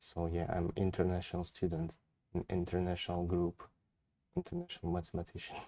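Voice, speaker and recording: A man with a very deep, low pitch and a dark, mellow tone speaks at a fairly quick pace in a monotone, flat way, keeping his loudness very even. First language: Russian. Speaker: international student. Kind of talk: webinar panel discussion.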